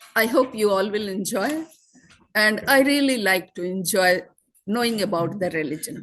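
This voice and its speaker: The woman's voice is fairly high with lively intonation. She speaks very slowly. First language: not English (speaking French). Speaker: event host. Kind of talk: introduction of a speaker.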